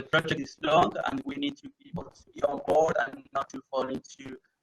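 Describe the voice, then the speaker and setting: A man with an Argentine accent, fairly high pitch and a moderate pace. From Argentina. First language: Spanish. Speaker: renewable energy project manager. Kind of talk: conference Q&A. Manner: halting, with many repeated words and fillers.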